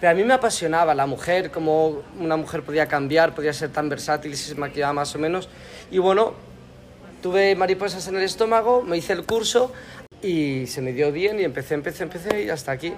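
A high-pitched man at a fairly quick pace amid noticeable background noise. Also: ordinary pitch variation. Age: 30s. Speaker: makeup artist. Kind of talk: interview.

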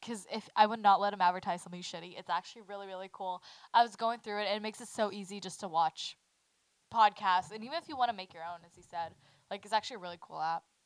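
A woman with an American accent talks at a very fast pace and a medium pitch with ordinary pitch variation. Her loudness swings widely. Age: 20s. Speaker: podcast co-host. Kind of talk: casual chat.

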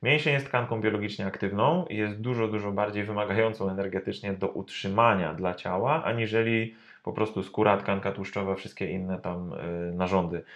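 A man with an ordinary speaking voice talks at a fairly quick pace, fairly low in pitch with ordinary pitch variation, over a quiet background. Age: 30s. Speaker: personal trainer. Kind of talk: interview. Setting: studio.

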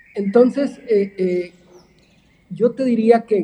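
There is noticeable background noise behind this man. His pitch varies an ordinary amount. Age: 50s. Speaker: tourism board director. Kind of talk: podcast interview.

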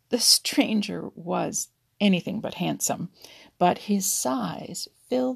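Someone reads in an unforced voice with a quiet background behind.

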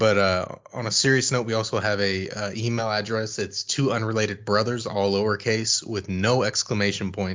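In an ordinary speaking voice, a man talks at a moderate pace and fairly low pitch, with fairly even intonation and hardly any pauses. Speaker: podcast co-host. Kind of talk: casual chat.

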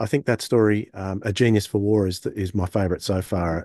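A man with an Australian accent speaks at a fairly low pitch. The sound is dry and close with no echo, over a quiet background. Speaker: podcast co-host. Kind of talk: casual chat.

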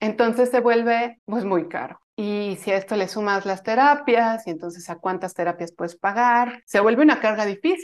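This woman's pitch varies in an ordinary way as she speaks at a moderate pace. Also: quiet background. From Mexico. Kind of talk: interview.

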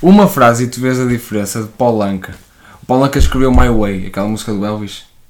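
Amid noticeable background noise, a man with a medium pitch talks at a fairly quick pace, with ordinary pitch variation. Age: 20s. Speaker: musician. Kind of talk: casual chat.

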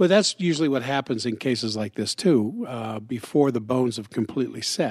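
An unremarkable speaking voice runs at a fairly quick pace with lively intonation and hardly any pauses. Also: man, medium pitch for a man. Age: 60s. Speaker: doctor and podcast host. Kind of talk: casual co-hosted health talk.

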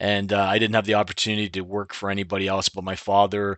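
A man's fairly low voice with a slight Canadian accent. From Ontario, Canada (Clinton). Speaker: insurance agency owner. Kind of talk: interview. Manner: conversational, uses many fillers.

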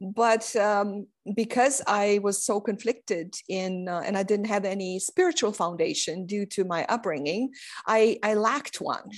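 A woman speaks with a Romanian accent at medium pitch. Her pace is moderate and her pitch variation ordinary. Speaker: investor and scientist. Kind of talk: interview. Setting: video call. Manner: halting, many fillers.

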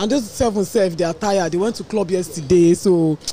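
A woman with a Nigerian accent, over noticeable background noise. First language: Yoruba. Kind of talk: casual chat.

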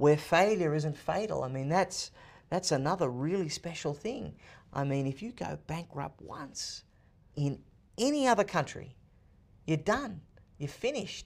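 Lively in intonation, a man speaks with long, frequent pauses in a very clean recording with a silent background. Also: fairly high pitch for a man, fairly slow pace. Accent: Australian. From Australia, Sydney. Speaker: author and political commentator. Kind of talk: interview. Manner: energetic, fluent talker.

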